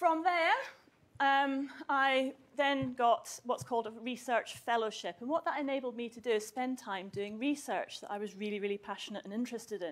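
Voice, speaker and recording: In a Scottish accent, a woman with a high pitch and ordinary pitch variation talks at a moderate pace, her loudness swinging widely. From southwest Scotland. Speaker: university chemistry researcher. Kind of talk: public talk to school students.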